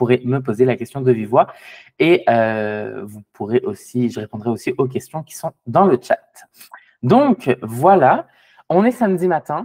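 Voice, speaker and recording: Lively intonation and a medium pitch mark this man's fairly slow speech. His loudness swings widely, and the sound is dry and close with no echo. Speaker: tax preparer. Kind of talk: webinar presentation. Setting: video call. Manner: hesitant, many fillers.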